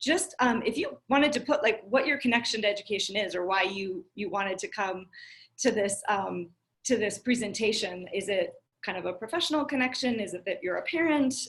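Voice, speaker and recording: A woman with an American accent speaks at a fairly quick pace in an unremarkable speaking voice, fairly high in pitch with lively intonation. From US and Tanzania (Arusha). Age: 40s. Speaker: education speaker. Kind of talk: presentation.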